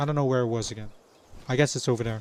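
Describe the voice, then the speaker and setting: A non-native accent with ordinary pitch variation, in a dry, close sound with no echo. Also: man. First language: not English. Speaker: video game streamer. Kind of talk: casual live stream chat. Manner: halting, many fillers.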